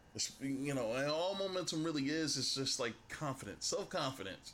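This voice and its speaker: A man at a moderate pace, with audible echo from the room. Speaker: sports YouTuber. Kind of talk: casual vlog response to viewer comment. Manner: halting, self-described stuttering; casual, conversational.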